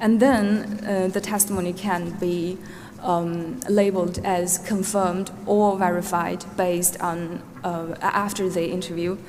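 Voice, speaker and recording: Amid audible room echo and noticeable background noise, the speaker uses a Xinjiang accent, a fairly slow pace and monotone, flat intonation. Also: woman, medium pitch for a woman. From Norway. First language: Uyghur. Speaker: witness, database researcher. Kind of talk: witness testimony. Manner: hesitant, many fillers.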